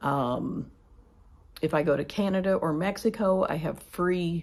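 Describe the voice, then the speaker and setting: A woman with an American accent speaks at a fairly low pitch with ordinary pitch variation, in an ordinary speaking voice. The recording is very clean and the background silent. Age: 60s. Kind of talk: casual budget vlog. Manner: conversational with filler ums.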